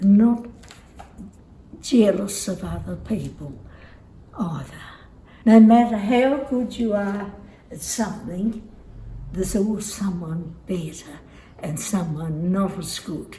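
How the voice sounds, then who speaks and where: In a dark, mellow, somewhat breathy tone, a woman speaks at a very slow pace with ordinary pitch variation and long, frequent pauses, amid audible room echo. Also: big swings in loudness. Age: 90s. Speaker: elderly interviewee. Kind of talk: casual interview.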